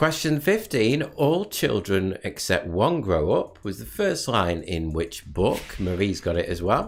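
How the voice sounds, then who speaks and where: This man has a northern English accent and speaks at a fairly slow pace. He leaves hardly any pauses. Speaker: quiz host. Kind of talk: live online quiz hosting. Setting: live stream.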